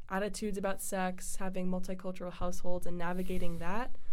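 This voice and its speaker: With audible room echo, a woman talks at a fairly quick pace and with ordinary pitch variation. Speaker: college podcast host. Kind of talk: casual chat.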